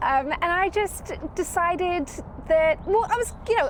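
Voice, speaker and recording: Lively intonation marks a woman's American accent, heard over noticeable background noise. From southern England. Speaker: professional organizer. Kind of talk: podcast interview. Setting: outdoors in a backyard.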